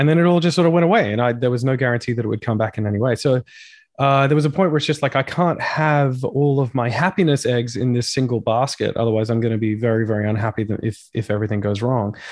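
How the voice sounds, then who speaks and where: Talking at a very fast pace with an Australian accent, a man uses a medium pitch and ordinary pitch variation against a quiet background. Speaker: rock singer. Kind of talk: casual chat.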